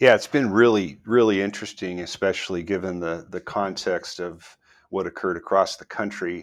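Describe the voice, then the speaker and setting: A man with an American accent and a fairly low pitch speaks in a plain, everyday voice at a moderate pace. His pitch variation is ordinary, his loudness swings widely, and the recording is very clean with a silent background. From US Southwest (northern New Mexico). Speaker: commercial real estate broker. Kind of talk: interview.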